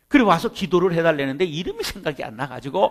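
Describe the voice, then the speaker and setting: With lively intonation, a man's fairly high voice moves along at a fairly brisk clip. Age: 50s. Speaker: pastor. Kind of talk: seminar lecture. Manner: animated.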